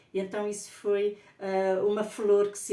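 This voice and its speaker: A woman's medium-pitched voice is heard with audible echo from the room. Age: 60s. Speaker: spiritual author. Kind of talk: personal testimony. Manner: halting.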